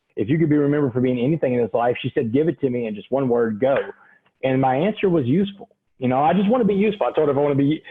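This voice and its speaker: With a Southeast Texas accent, the speaker rushes along at a very fast pace, pitch swinging very widely in an animated tone. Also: man. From Texas, Port Arthur (Gulf Coast). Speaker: motivational speaker. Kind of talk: interview testimony.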